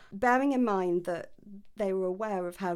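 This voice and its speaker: A woman with a British accent at medium pitch and a moderate pace, in a very clean recording with a silent background. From UK. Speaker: podcast host and history researcher. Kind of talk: casual chat with read-out research notes.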